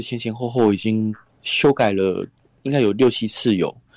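A man's voice with ordinary pitch variation, in a very clean recording with a silent background. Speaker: author and radio host. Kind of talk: interview.

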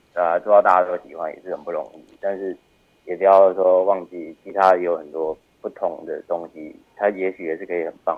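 A man with a very deep, low pitch talks at a fairly quick pace. His intonation is monotone and flat, while his loudness swings widely. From Taiwan, Taichung (Taiping). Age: 30s. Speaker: film director. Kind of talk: casual interview. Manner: halting, many fillers.

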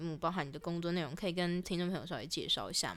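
Very fast speech from a woman with a fairly low voice. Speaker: student radio podcast host. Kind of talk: casual interview.

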